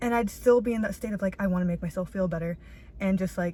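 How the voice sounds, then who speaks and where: A woman speaks at a very fast pace with a medium pitch. Her tone is dark and mellow and somewhat breathy. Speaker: vlogger. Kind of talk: casual vlog monologue. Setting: outdoors in a parking lot. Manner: animated.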